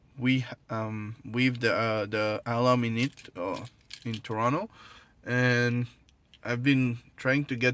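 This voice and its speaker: Intonation stays fairly even as a man with a strong non-native accent talks at a medium pitch. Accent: strong French Creole. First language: Creole/French. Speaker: product reviewer. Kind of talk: casual product review to camera. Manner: hesitant, many fillers.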